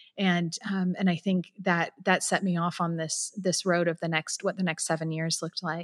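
Speaking at a moderate pace with hardly any pauses, a woman with a West Coast accent keeps a monotone, flat intonation. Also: fairly low pitch for a woman. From San Francisco Bay Area. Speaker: nonprofit founder and abuse survivor. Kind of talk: personal testimony in interview.

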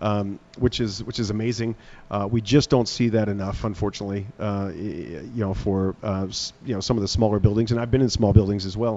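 With an American accent, a man speaks in a plain, everyday voice, fairly low in pitch, at a fairly quick pace and with fairly even intonation. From United States. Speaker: arena general manager. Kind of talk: radio interview. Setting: on location remote broadcast.

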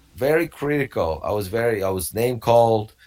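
A man speaks in a Romanian accent at a moderate pace. The recording is very clean, with a silent background. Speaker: wrestling coach and personal trainer. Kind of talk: interview. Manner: halting.

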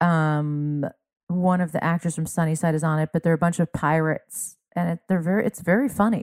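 A woman with an ordinary speaking voice talks at a fairly quick pace and fairly low pitch with ordinary pitch variation, dry and close with no echo, in a very clean recording against a silent background. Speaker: comedian. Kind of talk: casual conversation.

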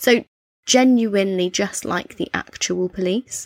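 In a British accent with ordinary pitch variation, the voice sounds dry and close with no echo on a very clean recording with a silent background. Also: woman. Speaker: true crime podcast co-host. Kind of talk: casual chat with case storytelling.

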